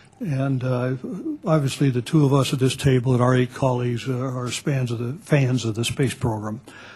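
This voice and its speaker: Noticeable background noise sits behind a man talking at a moderate pace. His medium-pitched voice is monotone and flat. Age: 70s. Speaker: expert witness. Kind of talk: congressional hearing testimony. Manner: halting.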